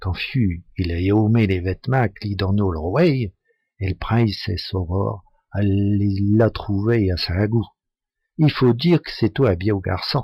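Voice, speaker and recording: Speaking very slowly, a man with a fairly low pitch and ordinary pitch variation sounds somewhat breathy. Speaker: storyteller. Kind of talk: folk tale telling in local dialect.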